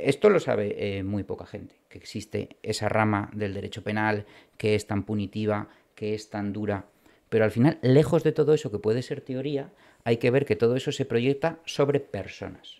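A man with a normal speaking voice at medium pitch, moderate pace, ordinary pitch variation and big swings in loudness, in a very clean recording with a silent background. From Spain, Bilbao (Basque Country). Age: 40s. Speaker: criminal and military lawyer. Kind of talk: interview.

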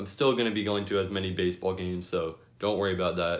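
Fairly low in pitch, a man speaks at a very fast pace with fairly even intonation. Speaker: sports vlogger. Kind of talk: casual vlog chat. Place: home room. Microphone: phone near.

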